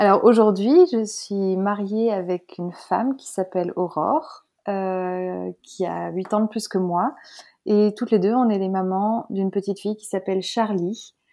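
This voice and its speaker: At a fairly slow pace, a woman with a medium pitch uses fairly even intonation while her loudness swings a lot. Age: 30s. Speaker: author sharing her coming-out and parenting story. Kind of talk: testimony. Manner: halting, many hesitations.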